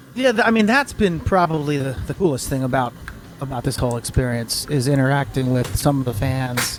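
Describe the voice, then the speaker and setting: The voice moves at a fairly quick pace with lively intonation, and noticeable background noise is heard. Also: man. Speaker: voice actor. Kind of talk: interview. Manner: halting.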